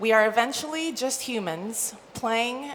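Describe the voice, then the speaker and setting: With lively intonation, a woman speaks amid noticeable background noise and audible room echo. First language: not English. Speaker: conference speaker, esports marketing executive. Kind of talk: conference talk. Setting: stage with audience.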